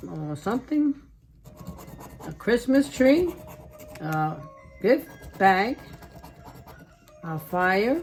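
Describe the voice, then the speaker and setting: A woman's very slow speech with long, frequent pauses and very wide pitch swings, music playing in the background. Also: big swings in loudness. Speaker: lottery scratch-off video creator. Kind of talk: casual scratch-off commentary.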